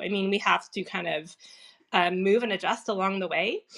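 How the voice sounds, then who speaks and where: Quickish in pace, a woman talks at a medium pitch with a bright, sharp tone and vocal fry. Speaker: productivity coach. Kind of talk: casual chat. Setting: Clubhouse audio room.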